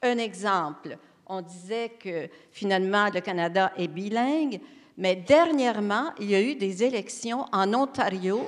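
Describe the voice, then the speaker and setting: In a Quebec accent, a woman speaks at a very slow pace with ordinary pitch variation. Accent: Québécois French. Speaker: education panelist. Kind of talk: round table discussion.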